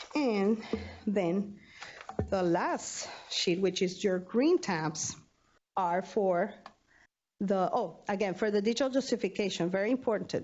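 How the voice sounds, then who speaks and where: A woman speaks at a fairly slow pace in a plain, everyday voice. Her pitch is medium, with ordinary pitch variation and very even loudness. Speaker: university student affairs budget staff. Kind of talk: training presentation.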